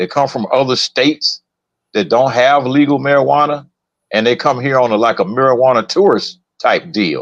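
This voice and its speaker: A man talks at a moderate pace, his pitch medium with ordinary variation. He has a plain, everyday voice. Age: 60s. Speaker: podcast co-host. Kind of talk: casual chat.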